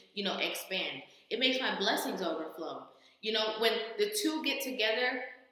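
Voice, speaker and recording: A woman speaks at a moderate pace amid strong room echo. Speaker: reaction vlogger. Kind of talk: casual commentary. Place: home room. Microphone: webcam.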